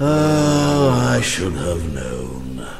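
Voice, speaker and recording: A put-on character voice is heard over clear background noise. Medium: video game.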